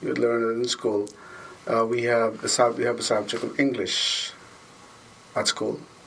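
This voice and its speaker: Amid noticeable background noise, a man at medium pitch speaks at a moderate pace with fairly even intonation and long, frequent pauses. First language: Tagalog. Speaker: school custodian and basketball referee. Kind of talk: interview. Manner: halting, self-correcting.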